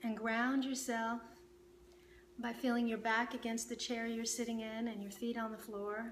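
Her tone is calm and soothing, and her intonation is monotone and flat. This woman has a fairly high pitch, with light background noise. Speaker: meditation teacher. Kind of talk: guided meditation. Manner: calm, slow, soothing; gentle, instructive. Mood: calm, soothing. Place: home room.

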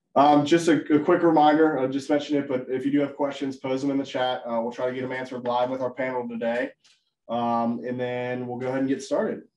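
Over light background noise and audible room echo, a man talks very fast with fairly even intonation. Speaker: webinar host, sales manager. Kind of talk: webinar presentation. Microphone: video call.

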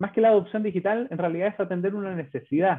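With a Chilean accent, a man talks at a fairly quick pace. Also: quiet background. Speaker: bank business manager presenting; presenter. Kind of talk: webinar presentation. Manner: halting, many fillers and repetitions. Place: home room. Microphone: webcam.

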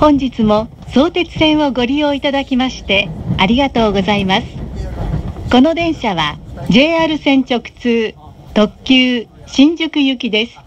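Her voice high, a woman speaks at a fairly slow pace with lively intonation over light background noise. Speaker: train announcement voice. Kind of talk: recorded train announcement. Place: train.

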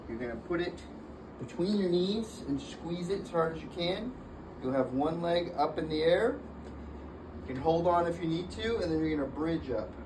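There is noticeable background noise as a man with a high pitch talks at a moderate pace, with ordinary pitch variation and long, frequent pauses. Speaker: fitness trainer. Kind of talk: tutorial. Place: gym. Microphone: camera far.

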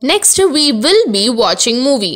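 A woman's high voice swings very widely in pitch. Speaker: English grammar teacher. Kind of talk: lecture.

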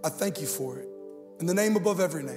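A man talks over clear music in the background. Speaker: guest pastor. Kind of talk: sermon. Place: stage. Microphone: handheld.

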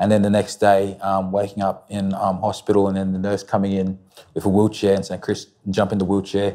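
A man with an Australian accent speaks at a fairly quick pace in a fairly low, dark, mellow tone. His intonation is monotone and flat, and the background is quiet. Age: 20s. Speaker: interview guest. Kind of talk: testimony. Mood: reflective, personal story. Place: studio. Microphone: lapel.

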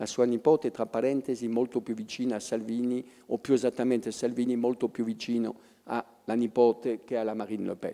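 The voice has a French accent and a dark, mellow tone. It moves at a moderate pace over a quiet background. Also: man. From France. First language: French (speaking Italian). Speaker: professor of political history; public guest. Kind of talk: public talk. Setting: stage with audience. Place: stage. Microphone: handheld.

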